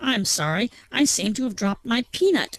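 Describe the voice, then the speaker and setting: A gravelly put-on character voice with very wide pitch swings and a dry, close sound with no echo. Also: woman, fairly high pitch for a woman, moderate pace. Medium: read story. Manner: smooth, menacing.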